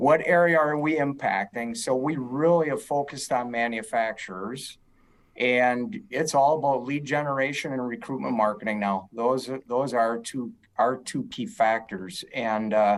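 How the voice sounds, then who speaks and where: Speech at a moderate pace with ordinary pitch variation comes through a very clean recording with a silent background. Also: man, medium pitch for a man. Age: 60s. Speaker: agency co-founder and president. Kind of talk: podcast interview. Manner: hesitant with fillers.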